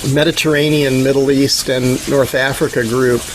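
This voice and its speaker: Against noticeable background noise, a man talks at a fairly slow pace, his fairly high pitch carried by fairly even intonation. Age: 60s. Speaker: founder of an environmental restoration organization. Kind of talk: casual talk on a video call. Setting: video call.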